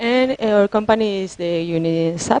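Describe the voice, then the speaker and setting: In a dry, close recording with no echo, a woman with a non-native accent speaks at a fairly slow pace with ordinary pitch variation. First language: Spanish. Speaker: IT consultant. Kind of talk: conference presentation. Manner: halting, many fillers.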